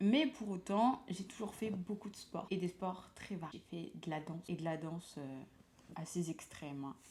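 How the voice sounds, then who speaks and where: Dark and mellow in tone and somewhat breathy, a woman's voice sits at a medium pitch with ordinary variation and a moderate pace. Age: 20s. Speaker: lifestyle vlogger and nurse. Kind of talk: casual vlog monologue. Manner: chatty, hesitant with frequent fillers.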